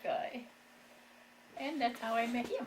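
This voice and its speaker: The speaker uses a rural Ohio accent and lively intonation at a moderate pace. Noticeable background noise can be heard. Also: woman. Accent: Midwestern US, rural Ohio. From Ohio, Wooster area. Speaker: elderly local resident. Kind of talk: oral history interview.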